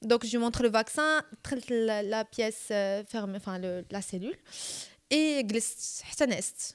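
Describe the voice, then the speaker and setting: Speaking at a fairly slow pace with a Moroccan accent, a woman uses a fairly high pitch, lively intonation and big swings in loudness on a very clean recording with a silent background. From Morocco. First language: Moroccan Arabic (speaking French). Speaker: podcast guest. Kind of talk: storytelling in casual chat.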